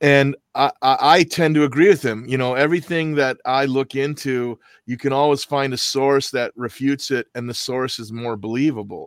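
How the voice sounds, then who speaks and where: A man with an American accent and an unremarkable speaking voice, fairly high in pitch, fairly even in intonation, at a moderate pace with hardly any pauses, in a very clean, dry, close recording with no echo and a silent background. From US Midwest, Milwaukee. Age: 60s. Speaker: podcast host. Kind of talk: casual chat.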